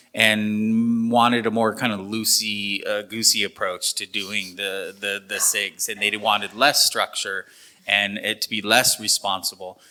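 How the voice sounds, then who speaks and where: A loud man's voice in a very clean recording with a silent background. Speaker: panel moderator. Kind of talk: panel discussion.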